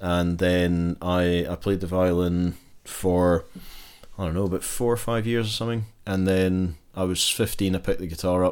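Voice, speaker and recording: Speaking at a moderate pace with fairly even intonation, a man with a Glaswegian accent has a very deep, low voice on a very clean recording with a silent background. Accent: Glaswegian Scottish. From Scotland, Glasgow. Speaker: guitar pick shop owner and musician. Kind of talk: casual interview chat.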